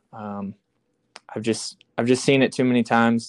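Medium-pitched speech from a man with a Midwestern US accent at a moderate pace, dry and close with no echo, in a very clean recording with a silent background. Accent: US Midwest. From Iowa. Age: 20s. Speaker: hunter and outdoor video creator. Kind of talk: casual interview. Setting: podcast. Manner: hesitant, filler-heavy.

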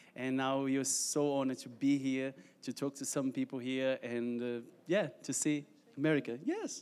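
At a moderate pace, a man talks in a Portuguese accent. His medium-pitched voice stays monotone, with flat intonation. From Brazil. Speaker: missionary. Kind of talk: testimony. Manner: halting.

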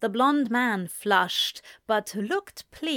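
In a natural reading voice, the speaker reads over a quiet background.

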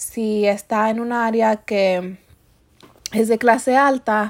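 A woman's fairly high pitch with fairly even intonation and a slow pace

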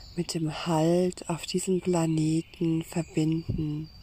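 A woman speaks at a fairly low pitch in a gentle, soothing, dark and mellow tone, somewhat breathy, with monotone, flat intonation. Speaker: meditation guide. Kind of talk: guided meditation. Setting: outdoors in a forest with birdsong. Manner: slow, soothing, calm; gentle, pausing, inviting.

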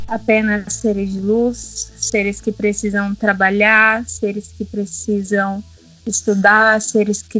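A woman at medium pitch speaks at a very slow pace with monotone, flat intonation. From Brazil, Minas Gerais. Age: 20s. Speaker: holistic therapist. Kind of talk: casual interview.

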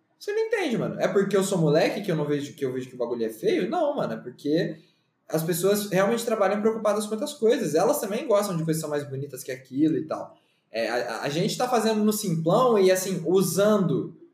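A high-pitched man's voice at a fairly quick pace, with very wide pitch swings. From Campinas, São Paulo state, Brazil. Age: 20s. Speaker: journalist and designer. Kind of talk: casual chat.

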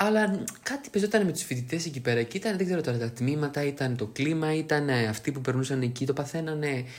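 Against noticeable background noise, a man talks at a fairly quick pace with lively intonation. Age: 20s. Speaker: podcast co-host. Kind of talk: casual chat.

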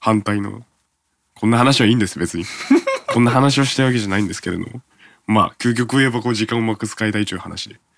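A man talks very fast at medium pitch, his intonation fairly even. His loudness swings widely in a very clean recording with a silent background. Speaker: radio host. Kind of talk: casual chat.

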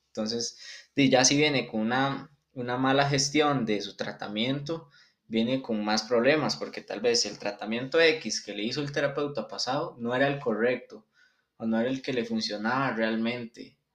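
At a moderate pace, a man speaks in a normal speaking voice of medium pitch with ordinary pitch variation. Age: 20s. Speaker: physiotherapy student. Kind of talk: interview.

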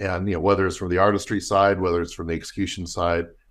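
A man with a fairly low voice talks over a quiet background. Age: 50s. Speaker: costume maker and business owner. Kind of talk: interview conversation. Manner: halting.

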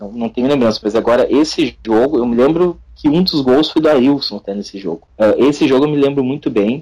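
Here is a man with a Gaúcho Brazilian accent and a dark, mellow tone. His pitch is fairly high with ordinary variation, and his pace is moderate. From Rio Grande do Sul, Brazil (São Leopoldo). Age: 30s. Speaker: football fan activist. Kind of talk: casual chat.

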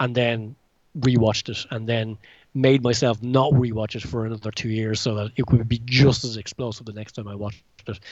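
In an Irish accent, a man speaks at a fairly quick pace and medium pitch, his intonation monotone and flat while his loudness swings widely. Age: 40s. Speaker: self-published novelist and martial arts film fan. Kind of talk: casual interview. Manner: halting, many fillers and repetitions.

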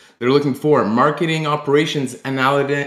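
A man talks with fairly high pitch. Background noise is noticeable. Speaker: host. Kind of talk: casual chat. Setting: live online audio chat.

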